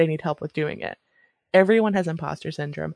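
A woman with a normal speaking voice talks at a fairly low pitch. The sound is dry and close with no echo, over a quiet background. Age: 30s. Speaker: podcast co-host. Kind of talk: casual chat.

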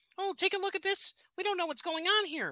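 Fairly quick, extremely high-pitched speech from a man in a put-on character voice

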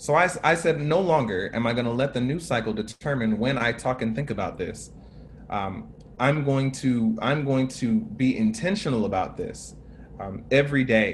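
Speaking with an American accent, a man with a medium pitch and a somewhat breathy voice uses lively intonation at a moderate pace. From United States. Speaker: racial justice activist. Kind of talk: panel talk. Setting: video call.

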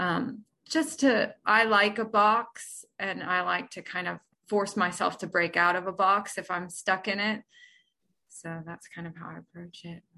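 A woman speaks fairly slowly at a medium pitch with ordinary pitch variation and a bright, sharp tone. Her loudness swings widely, and the background is quiet. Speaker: poet. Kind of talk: interview with poem readings.

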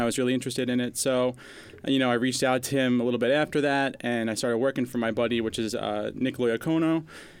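A man's normal speaking voice, medium in pitch, with fairly even intonation. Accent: American. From Long Island, New York. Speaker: DJ. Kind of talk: interview. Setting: studio.

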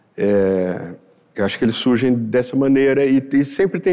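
Speaking at a moderate pace, a man with an unremarkable speaking voice uses lively intonation at a medium pitch. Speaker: writer. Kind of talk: interview. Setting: studio with audience.

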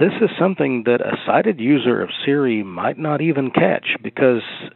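This man has a Southern US accent. He talks at a moderate pace with ordinary pitch variation. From US South. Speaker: listener. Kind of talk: voice message.

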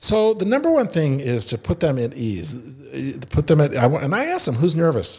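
This man speaks at a moderate pace in a somewhat breathy, fairly high voice that swings very widely in pitch. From Indiana. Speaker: improv theater founder. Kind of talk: casual interview.

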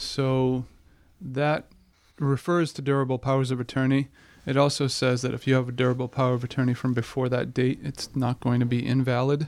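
The speech runs at a fairly quick pace with monotone, flat intonation. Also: man, medium pitch for a man. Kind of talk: casual radio talk.

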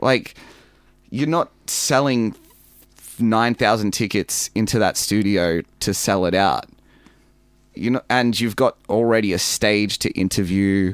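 Speaking at a fairly slow pace with long, frequent pauses, a man with a fairly low pitch keeps his loudness very even and his pitch variation ordinary, in a very clean recording with a silent background and a dry, close sound with no echo. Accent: Australian. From Melbourne, Australia (western suburbs). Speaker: professional wrestler. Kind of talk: casual interview.

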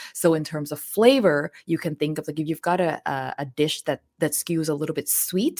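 A woman speaks with a Thai accent in a very deep, low pitch. The recording is very clean, with a silent background and a dry, close sound with no echo. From southern Thailand. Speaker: chef and cookbook author. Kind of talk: casual interview.

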